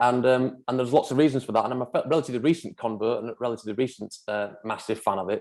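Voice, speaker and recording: Against a quiet background, a man with a Manchester accent speaks at a medium pitch and a very fast pace. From Manchester, northern England. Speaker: property developer. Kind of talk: presentation at online forum. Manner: halting, many fillers and repeats.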